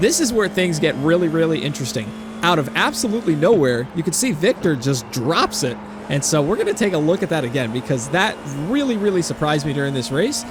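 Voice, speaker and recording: Against noticeable background noise, a man with a fairly high pitch speaks at a very fast pace with lively intonation. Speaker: sim racing YouTuber. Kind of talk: post-race commentary. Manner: relaxed, chill.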